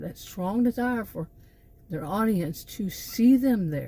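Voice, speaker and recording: A woman with a Texan accent speaks fairly slowly at a fairly high pitch, her dark, mellow tone somewhat breathy with lively intonation. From Texas. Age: 60s. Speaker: vlogger, former college teacher. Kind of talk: casual vlog monologue. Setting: in her car. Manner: halting, many fillers and repeats.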